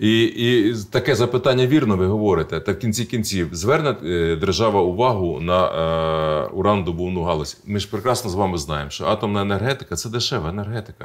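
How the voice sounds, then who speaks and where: Lively intonation carries a fairly quick pace. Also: man, fairly low pitch for a man. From central Ukraine, Kirovohrad region; Ukraine. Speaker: regional politician. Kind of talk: interview. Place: studio. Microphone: lapel.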